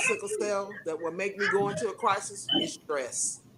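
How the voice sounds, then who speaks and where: Over noticeable background noise, a woman keeps a moderate pace as she speaks. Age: 60s. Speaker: sickle cell outreach coordinator. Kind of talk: casual chat. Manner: halting.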